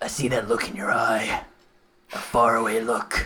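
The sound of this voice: A man puts on a gravelly, raspy character voice at a medium pitch. He speaks at a moderate pace.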